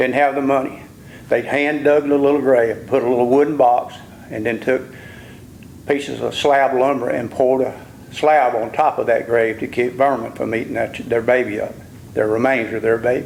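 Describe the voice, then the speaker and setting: At a moderate pace, the speaker uses monotone, flat intonation with an Alabama accent. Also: man, medium pitch for a man. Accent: US Southern (Alabama). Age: 70s. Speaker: local landowner speaking at public hearing. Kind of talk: public comment testimony. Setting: public hearing in a civic center. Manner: impassioned.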